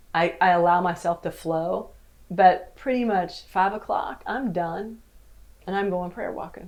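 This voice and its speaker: In an unremarkable speaking voice, a woman talks at a fairly slow pace and fairly low pitch with ordinary pitch variation. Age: 60s. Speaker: novelist and worship leader. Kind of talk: casual chat.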